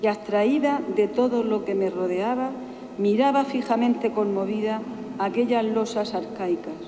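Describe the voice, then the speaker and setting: Against noticeable background noise, a woman speaks in a solemn tone at a fairly slow pace. Her pitch is fairly high, with ordinary variation and very even loudness. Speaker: pregonera (Holy Week proclaimer). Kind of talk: personal first-person reflection on a pilgrimage to Jerusalem. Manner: emotional, solemn.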